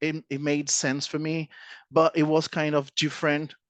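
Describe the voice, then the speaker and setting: Against a quiet background, a man with a fairly high pitch speaks in a dry, close sound with no echo. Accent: Portuguese. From Brazil. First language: Portuguese. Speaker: presenter. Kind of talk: presentation. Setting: audience of students. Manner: halting.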